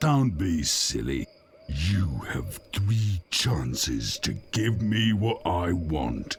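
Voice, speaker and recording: A growling, put-on character voice from a man, very deep and low, with very wide pitch swings at a very slow pace. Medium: video game. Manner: stern, stubborn.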